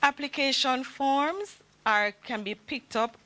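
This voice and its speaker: With a bright, sharp tone and lively intonation, a woman talks at a fairly slow pace. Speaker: government ministry official presenting. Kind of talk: seminar presentation.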